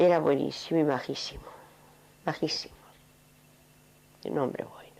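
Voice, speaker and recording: A woman whispers at a moderate pace. Audible room echo surrounds her. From Navarre and Irún, Basque Country, Spain. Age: 70s. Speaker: interviewee recalling Civil War childhood. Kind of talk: oral history interview.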